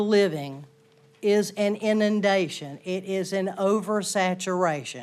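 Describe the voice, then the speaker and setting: A woman with a Southern US accent talks at a very slow pace and a medium pitch. The recording is very clean, with a silent background. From US South. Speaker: resident giving public comment. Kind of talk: public comment speech. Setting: town council chamber. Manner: formal.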